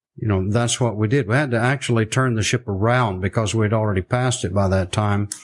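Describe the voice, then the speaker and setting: Speaking at a fairly quick pace with fairly even intonation, a man with a Southern US accent talks against a quiet background. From US South, South Arkansas. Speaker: missionary. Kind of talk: interview storytelling.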